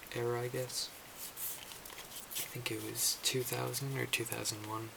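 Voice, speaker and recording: Over noticeable background noise, a soft-spoken man talks at a fairly slow pace with hardly any pauses. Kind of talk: ASMR roleplay, music store clerk. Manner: hesitant, some stumbling.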